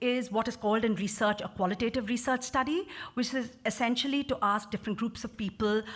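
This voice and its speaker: A woman's fairly high voice at a fairly quick pace, with ordinary pitch variation. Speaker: researcher. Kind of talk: conference presentation. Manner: fast; halting.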